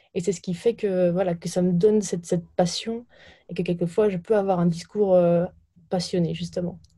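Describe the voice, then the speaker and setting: A woman's somewhat breathy, dark, mellow voice, fairly low in pitch, at a moderate pace with monotone, flat intonation. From France, Burgundy countryside. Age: 20s. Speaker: startup founder. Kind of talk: interview. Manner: halting, repeats words.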